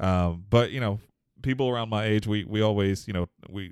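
A man with an American accent and a normal speaking voice, on a very clean recording with a silent background. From Houston, Texas. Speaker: podcast co-host. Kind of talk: casual chat.

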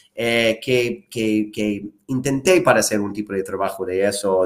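At a fairly slow pace, the speaker has a slight American accent and ordinary pitch variation. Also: man. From United States. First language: English (speaking Spanish). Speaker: sales manager and restaurant owner. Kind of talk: interview. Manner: halting, with many repetitions and fillers.

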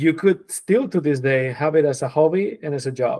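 A man's fairly high voice with a Spanish accent, at a moderate pace. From southern Spain, Granada. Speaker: designer and creative director. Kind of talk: casual interview.

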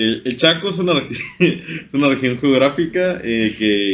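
A man with a medium pitch talks very slowly, his intonation lively. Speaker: podcast host. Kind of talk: casual chat. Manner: informal.

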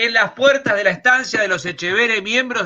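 A man's voice with lively intonation. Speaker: comedian. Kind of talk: stand-up style news comedy.

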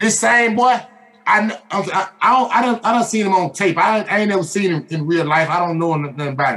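Noticeable background noise sits behind a man with a high voice. He talks fairly fast with lively intonation. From Atlanta, Georgia (US South). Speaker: sports podcast host. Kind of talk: casual chat. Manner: animated.

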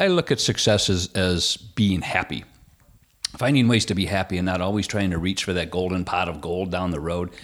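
This man's very deep, low voice keeps fairly even intonation. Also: moderate pace. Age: 50s. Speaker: insurance agency owner. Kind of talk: casual chat.

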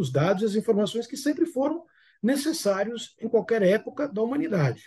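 Very wide pitch swings run through a man's speech, his tone dark and mellow. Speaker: business management expert. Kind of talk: interview.

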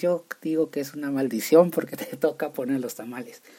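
A man with a northern Mexican accent speaks at a fairly high pitch in a dark, mellow tone. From Mexico, Chihuahua. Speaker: podcast host. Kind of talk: casual solo podcast monologue. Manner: halting, many repetitions.

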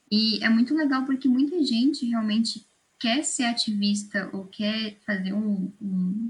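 A woman talks at a fairly slow pace. Her voice is fairly high and somewhat breathy. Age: 20s. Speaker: student podcast co-host. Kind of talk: casual interview.

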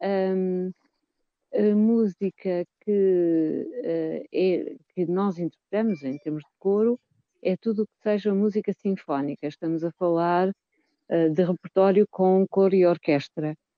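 A woman talks at a very slow pace in a medium pitch. Her pitch varies in an ordinary way while her loudness swings widely. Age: 50s. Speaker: choir singer. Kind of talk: radio interview. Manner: halting, with repetitions.

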